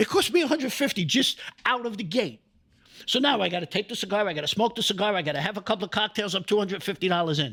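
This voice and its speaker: This man's voice sits high and sounds bright and sharp. He talks at a very fast pace with lively intonation. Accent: New York. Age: 60s. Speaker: real estate investor. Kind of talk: podcast interview.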